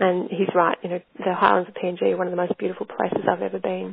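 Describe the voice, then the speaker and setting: The speaker is a woman. She talks in an Australian accent. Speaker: researcher presenting a case study. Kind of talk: webinar lecture presentation. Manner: hesitant, many fillers and restarts.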